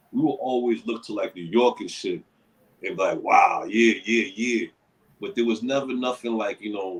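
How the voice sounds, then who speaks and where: With an American accent, this man's delivery is at a moderate speed. The tempo never rushes or drags. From Worcester, Massachusetts (Main South). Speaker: rapper. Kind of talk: interview. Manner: casual, filler-heavy.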